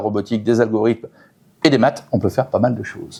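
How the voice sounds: A man's fairly low voice with vocal fry, a slightly husky edge and a slightly mellow tone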